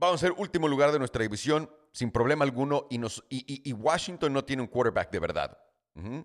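Animated in tone, a man talks at a fairly quick pace and fairly high pitch with ordinary pitch variation on a very clean recording with a silent background. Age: 30s. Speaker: podcast host. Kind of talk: casual monologue.

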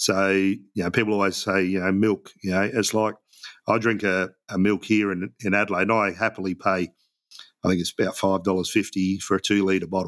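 This man speaks fairly quickly in a monotone, flat intonation. The recording is very clean, with a silent background. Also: fairly low pitch for a man. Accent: Australian. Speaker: app founder, business owner. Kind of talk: interview. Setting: radio studio.

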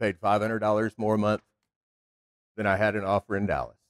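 In a Texan accent, a man talks in a flat monotone at a fairly low pitch, the sound dry and close with no echo. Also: long, frequent pauses, big swings in loudness. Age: 40s. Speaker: car dealer. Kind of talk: speech.

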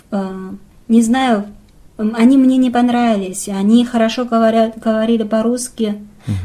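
A woman's fairly high voice with a dark, mellow tone and a Chinese accent, monotone and flat, at a moderate pace with long, frequent pauses. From northern China, Qiqihar. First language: Chinese (speaking Russian). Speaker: assistant film director. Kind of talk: casual interview. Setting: makeshift studio. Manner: halting, many fillers.

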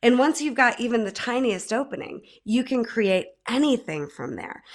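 A woman with an American accent and fairly high pitch speaks at a fairly slow pace in a normal speaking voice, on a very clean recording with a silent background. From central New York, Mohawk Valley. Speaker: life coach and music therapist. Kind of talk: casual interview.

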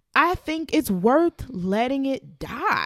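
A woman talks at a very slow pace. The recording is very clean, with a silent background. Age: 20s. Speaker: podcast co-host. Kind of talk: casual chat.

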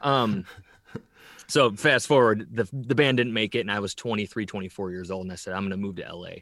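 In a normal speaking voice with an American accent, the speaker moves at a fairly quick pace with ordinary pitch variation and big swings in loudness. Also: man, fairly low pitch for a man. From northern Illinois, US Midwest. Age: 40s. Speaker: rock drummer. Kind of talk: casual interview chat. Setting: remote call.

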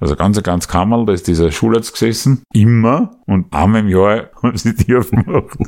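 Using a normal speaking voice, a man talks at a moderate pace and fairly low pitch with hardly any pauses, very even loudness, and ordinary pitch variation. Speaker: podcast co-host. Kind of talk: casual comedic chat.

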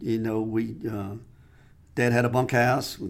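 A man with a Southern US accent speaks at a fairly slow pace with a medium pitch. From Mississippi, US South. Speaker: saddle maker. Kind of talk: casual interview. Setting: studio.

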